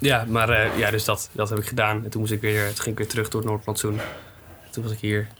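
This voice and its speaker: Amid noticeable background noise, a man speaks at a very fast pace in a monotone, flat way. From Netherlands, Groningen area. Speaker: musician. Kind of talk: casual interview.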